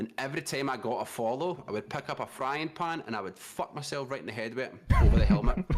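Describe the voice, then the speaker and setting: Over noticeable background noise, a man with a Scottish accent talks very fast in an animated tone at a medium pitch with ordinary pitch variation. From Scotland. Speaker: streamer, content creator. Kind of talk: casual podcast chat.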